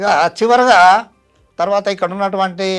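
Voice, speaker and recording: A man's voice with ordinary pitch variation and music in the background. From Andhra Pradesh, Nandyala. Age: 70s. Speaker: retired headmaster, patient. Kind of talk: testimony. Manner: halting.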